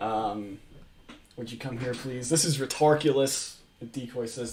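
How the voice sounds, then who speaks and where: Medium-pitched male voice with ordinary pitch variation, moderate pace and noticeable background noise. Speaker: streamer. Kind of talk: casual commentary. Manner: animated.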